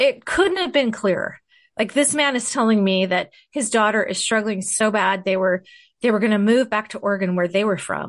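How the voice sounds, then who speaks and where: An ordinary speaking voice from a woman, fairly high-pitched, with lively intonation at a moderate pace over a quiet background. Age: 50s. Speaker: podcast host and mother, interview guest. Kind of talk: casual interview, personal story.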